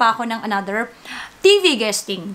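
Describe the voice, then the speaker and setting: A woman speaks at a fairly slow pace. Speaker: vlogger and singer. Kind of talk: casual vlog chat. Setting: at home.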